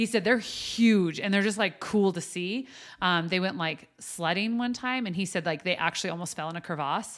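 A woman with an American accent uses a normal speaking voice at medium pitch, moving at a moderate pace with ordinary pitch variation in a very clean recording with a silent background. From US West (Wyoming). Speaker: coffee house owner and life coach. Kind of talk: casual chat.

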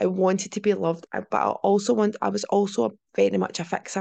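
This woman has a medium-pitched voice with vocal fry. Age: 30s. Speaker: empowerment and mindset coach. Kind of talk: personal story monologue. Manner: hesitant, many fillers.

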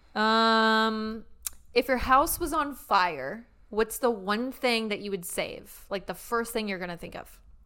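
The recording is very clean, with a silent background, as a woman speaks at a fairly slow pace. Her fairly high voice is bright and sharp, with ordinary pitch variation. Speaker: podcast co-host. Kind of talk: casual chat.

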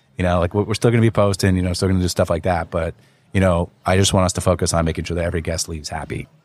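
The speaker talks very fast with a New Jersey accent and a monotone, flat intonation. The recording is very clean, with a silent background. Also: man, very deep, low pitch for a man. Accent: New Jersey American. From US Northeast, North Jersey (Wayne, Passaic County). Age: 40s. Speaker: restaurant group founder. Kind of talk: casual chat.

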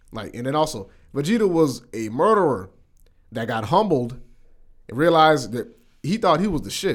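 With vocal fry and a fairly high pitch, a man speaks at a moderate pace, his loudness and pitch swinging widely, broken by long, frequent pauses. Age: 20s. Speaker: podcast co-host. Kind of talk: casual chat.

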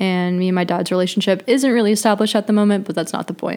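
With an American accent, a woman speaks with fairly even intonation. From US Midwest, Missouri. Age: 20s. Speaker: podcast host. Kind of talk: personal testimony and awareness talk.

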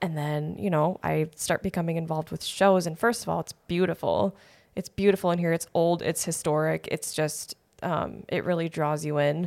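An unremarkable speaking voice comes through with an American accent. The pace is moderate and the intonation fairly even. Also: woman, fairly low pitch for a woman. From Wisconsin (Janesville, Kenosha). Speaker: community theater actress. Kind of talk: casual chat.

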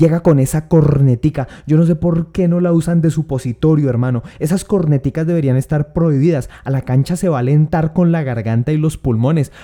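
A man with a plain, everyday voice, fairly high-pitched for a man, at a fairly quick pace with hardly any pauses, ordinary pitch variation and very even loudness. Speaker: comedian. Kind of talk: stand-up.

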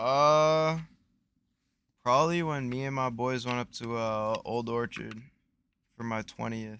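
A man with an American accent and a bright, sharp tone, medium pitch for a man, ordinary pitch variation, a fairly slow pace, and long, frequent pauses. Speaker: podcast co-host. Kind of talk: casual chat, crude banter.

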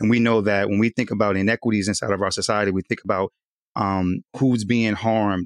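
A man's fairly low, a normal speaking voice with an American accent, at a fairly quick pace, dry and close with no echo against a quiet background. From Southern California. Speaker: community health worker. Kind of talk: panel discussion.

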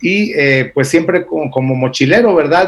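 A man talks with a Guatemalan accent. His intonation is lively. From Argentina, then Israel from age 11. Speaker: entrepreneur, travel company founder. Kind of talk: radio interview.

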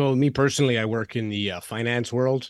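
A man talks at a fairly quick pace with a Canadian accent and fairly even intonation. The recording is very clean, with a silent background. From Canada. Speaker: podcast host. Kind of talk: casual interview chat. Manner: fast talker.

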